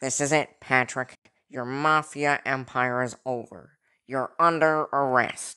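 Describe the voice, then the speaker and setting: A put-on character voice sits at a low-to-middle pitch. The pace is fairly slow over a quiet background. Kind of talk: 1930s gangster film parody. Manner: accusing, resentful.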